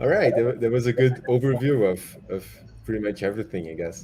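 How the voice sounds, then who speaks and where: A man with a Portuguese accent talks at a fairly quick pace with lively intonation. His tone is dark and mellow, and somewhat breathy. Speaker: livestream host. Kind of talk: casual interview on livestream. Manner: halting, repeats words.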